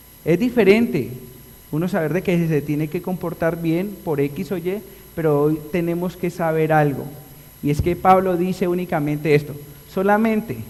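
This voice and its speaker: Ordinary pitch variation and a moderate pace in a man's high-pitched voice. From Colombia (Antioquia, paisa region). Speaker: pastor. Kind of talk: sermon. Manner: animated.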